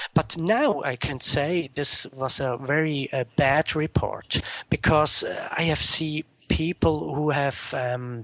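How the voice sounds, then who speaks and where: A man with a Swiss German accent, fairly high pitch, fairly even intonation, and a very slow pace, in dry, close sound with no echo. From Switzerland, Zurich area. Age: 30s. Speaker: interview guest. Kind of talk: interview. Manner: halting.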